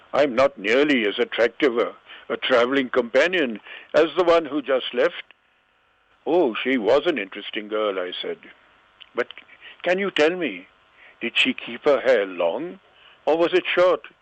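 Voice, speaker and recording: At a moderate pace, a man with a fairly high pitch and lively intonation speaks with long, frequent pauses. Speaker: author. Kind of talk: story reading. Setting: phone line.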